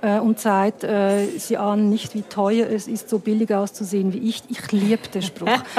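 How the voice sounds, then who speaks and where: Noticeable background noise sits behind a woman with a medium pitch. She talks at a moderate pace with hardly any pauses. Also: fairly even intonation. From Switzerland. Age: 50s. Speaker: filmmaker. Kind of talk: casual chat. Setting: bar. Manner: halting.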